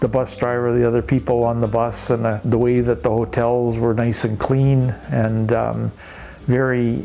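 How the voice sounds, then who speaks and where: A man talks at a moderate pace in a medium pitch with monotone, flat intonation. Noticeable background noise runs underneath. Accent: Canadian. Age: 70s. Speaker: interviewee, retired traveler. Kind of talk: casual interview.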